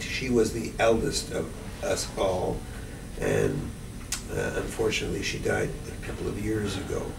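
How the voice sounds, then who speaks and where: A man's voice carries audible room echo, with noticeable background noise present as well. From Montreal, Quebec. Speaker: interviewee recalling family history. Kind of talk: oral history interview. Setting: library.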